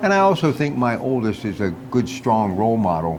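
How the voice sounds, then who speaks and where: This man keeps a fairly quick pace amid noticeable background noise, with audible room echo around his voice. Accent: American. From Pittsburgh area, US. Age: 60s. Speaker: radio host. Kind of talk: casual chat. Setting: on location at a restaurant.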